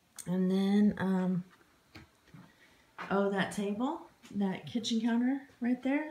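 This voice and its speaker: Amid noticeable background noise, a woman speaks very slowly at a medium pitch with lively intonation and long, frequent pauses. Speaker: homesteader vlogger. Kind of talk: home tour vlog. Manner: casual, upbeat.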